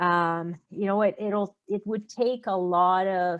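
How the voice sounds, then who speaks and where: A woman speaks very slowly in a fairly low, monotone, flat voice. The background is quiet. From Quebec. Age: 50s. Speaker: food company founder. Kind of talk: podcast interview.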